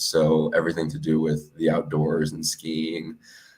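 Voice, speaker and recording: Very deep and low, a man's voice comes through with an American accent. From US (raised), Colombian family. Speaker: podcast host. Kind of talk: casual self-introduction.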